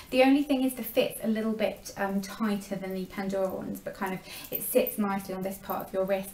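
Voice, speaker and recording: A woman with an English accent at medium pitch, fairly quick and fairly even in intonation, over noticeable background noise. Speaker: beauty vlogger. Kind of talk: product review vlog. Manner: fast.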